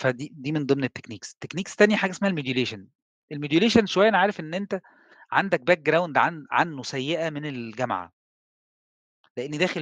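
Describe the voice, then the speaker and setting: Fairly quick and full of very wide pitch swings, a man's voice sounds dry with no echo against a quiet background. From Egypt. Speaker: telecom engineer and trainer; trainer. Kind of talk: lecture. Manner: conversational. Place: home room. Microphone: headset.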